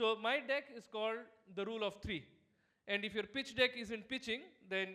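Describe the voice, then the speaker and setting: A man speaks in a raised, projected voice with a bright, sharp tone. His pace is fairly quick, with ordinary pitch variation. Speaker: startup founder and keynote speaker. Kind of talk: keynote presentation. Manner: fast.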